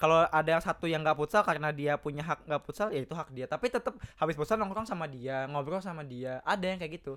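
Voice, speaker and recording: This man talks at a very fast pace with hardly any pauses, his pitch fairly high with ordinary variation. The sound is dry and close, with no echo. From Jakarta. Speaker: podcast co-host. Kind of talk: casual chat.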